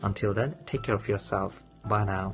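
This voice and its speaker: A man's fairly low voice at a moderate pace, with clear music in the background. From Sylhet, Bangladesh. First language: Bengali. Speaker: international graduate student. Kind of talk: testimonial talk to camera. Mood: friendly, calm, positive. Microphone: phone near.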